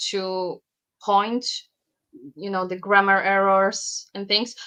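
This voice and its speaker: With a non-native accent, a woman speaks in a bright, sharp tone. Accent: noticeable foreign. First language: Polish. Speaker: bag pattern designer and sewing teacher. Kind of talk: podcast interview. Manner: some hesitations and repetitions.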